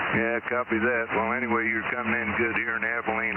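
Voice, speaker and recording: Amid noticeable background noise and audible room echo, a man with an American accent talks at a medium pitch. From US Midwest, northeast Missouri. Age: 70s. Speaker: ham radio operator. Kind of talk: amateur radio on-air interview. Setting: ham radio transmission. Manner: halting, many fillers.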